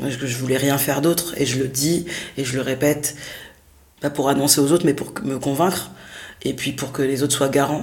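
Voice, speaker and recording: At a moderate pace, a woman with a very deep, low voice speaks in a monotone, flat way, with audible room echo and noticeable background noise. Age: 30s. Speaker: theatre director and performer. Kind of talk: interview. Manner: halting.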